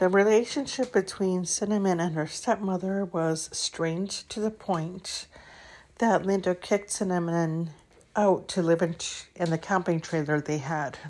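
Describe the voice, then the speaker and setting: A woman with an unremarkable speaking voice talks at a fairly slow pace, at medium pitch with ordinary pitch variation. The recording is very clean, with a silent background. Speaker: true crime podcaster. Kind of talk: true-crime narration, read from script, mixed with ad read. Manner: even, measured, serious storytelling pace; occasionally stumbles, clears throat.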